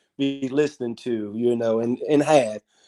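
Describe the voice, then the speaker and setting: A man talks at a moderate pace over music in the background. The sound is dry and close, with no echo. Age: 60s. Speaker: caller. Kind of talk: casual chat.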